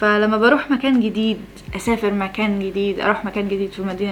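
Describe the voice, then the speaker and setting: Noticeable background noise accompanies talk delivered at a very fast pace. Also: woman. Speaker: vlogger. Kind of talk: casual vlog talk to camera. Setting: at home early morning. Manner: rambling, self-interrupting; loud for early morning.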